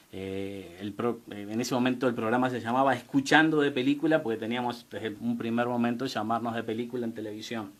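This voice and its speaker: A man at medium pitch with fairly even intonation, going at a fairly quick pace with hardly any pauses. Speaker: radio and TV show producer. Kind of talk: radio interview. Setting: radio studio, live broadcast. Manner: halting, many fillers.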